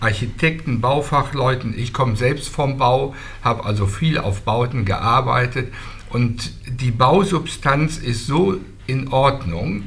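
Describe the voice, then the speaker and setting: Amid noticeable background noise and audible room echo, a man speaks at a medium pitch and a very slow pace with ordinary pitch variation. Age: old. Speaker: local activist. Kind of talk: group discussion.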